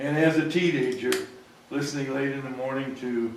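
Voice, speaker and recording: At a moderate pace and with fairly even intonation, the voice comes through audible room echo and noticeable background noise. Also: man. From US Midwest, Quincy, Illinois. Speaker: audience member. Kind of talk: audience comment. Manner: loud. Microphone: speaking without a microphone.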